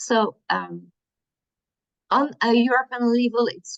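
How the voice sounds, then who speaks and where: Speaking very slowly with a French accent, a woman uses a high pitch, and the sound is dry and close with no echo. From France. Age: 50s. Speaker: workshop presenter. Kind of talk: workshop presentation. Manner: slow, hesitant.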